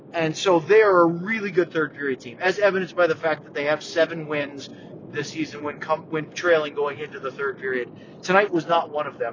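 A man talks at a fairly quick pace, his pitch fairly high for a man. His pitch moves in an ordinary way, with noticeable noise behind him. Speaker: hockey podcast host. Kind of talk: casual sports chat podcast. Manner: animated, loud.

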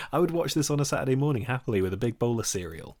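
Lively in intonation and medium in pitch, a man with an East Midlands accent is heard in a very clean recording with a silent background. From England, Nottingham. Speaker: film journalist, podcast host. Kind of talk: casual chat.

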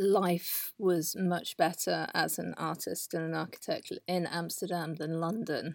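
Speaking very slowly in a southern English accent, a woman uses a fairly low pitch and monotone, flat intonation. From southern England. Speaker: artist. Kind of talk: casual interview. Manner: halting.

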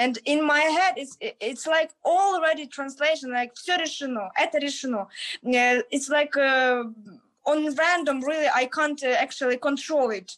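A high-pitched woman at a fairly slow pace. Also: ordinary pitch variation. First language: Ukrainian or Russian. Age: young. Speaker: university student and English teacher. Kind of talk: casual interview chat. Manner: halting, many fillers.

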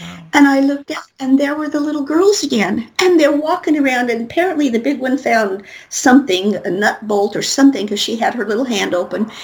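A woman speaks at a high pitch with lively intonation. She hardly pauses at all. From Colorado, US. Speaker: spiritual reader and author. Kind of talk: interview. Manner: rambling, run-on.

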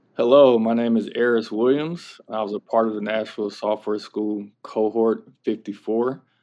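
At a moderate pace and medium pitch, a man with an American accent uses an unremarkable speaking voice, fairly even intonation and hardly any pauses. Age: 30s. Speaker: bootcamp graduate, former parole officer. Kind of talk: interview. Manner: casual, filler-heavy (like, kinda, um).

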